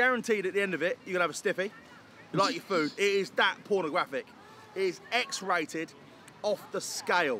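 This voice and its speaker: Over light background noise, a man talks fairly quickly in a raised, projected voice with ordinary pitch variation, the sound dry with no echo. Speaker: food reviewer. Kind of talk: casual vlog chat. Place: street.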